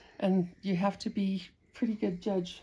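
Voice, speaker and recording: Somewhat breathy and medium in pitch, this woman speaks with an American accent. Her pace is fairly slow and her intonation is monotone and flat. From Utah, USA. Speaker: handcraft demonstrator. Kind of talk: casual demonstration talk.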